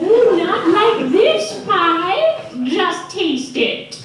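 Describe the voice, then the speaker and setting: A female-sounding, put-on character voice speaks at a very slow pace in an extremely high pitch. There is a slight echo. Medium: stage play.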